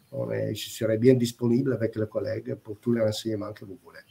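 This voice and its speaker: With a non-native accent, a man talks at a medium pitch. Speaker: industrial product manager. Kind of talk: webinar presentation. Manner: halting, hesitant.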